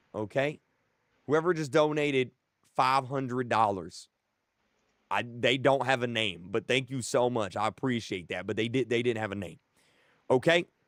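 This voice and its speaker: Pausing long and often, a man of medium pitch speaks at a moderate pace in an animated tone with ordinary pitch variation. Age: 20s. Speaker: YouTuber streamer. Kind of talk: live stream chat.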